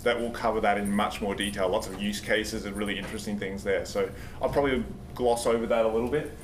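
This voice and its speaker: A man at a very fast pace, ordinary pitch variation, audible room echo and noticeable background noise. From Australia. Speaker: software engineer, conference speaker. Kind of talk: conference talk. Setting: stage with audience. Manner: fast when nervous; casual, halting with fillers.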